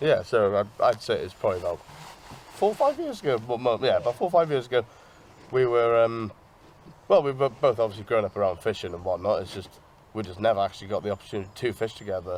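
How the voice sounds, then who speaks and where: The speaker talks at a very fast pace with a Welsh accent. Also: man, medium pitch for a man, ordinary pitch variation. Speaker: angler. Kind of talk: interview.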